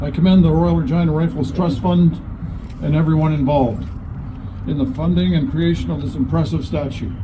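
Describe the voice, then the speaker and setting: With a Canadian accent, a man speaks at a fairly quick pace in a fairly high pitch with very wide pitch swings, heard through audible room echo and noticeable background noise. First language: Woodland Cree. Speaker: lieutenant governor. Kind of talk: ceremonial speech. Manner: formal.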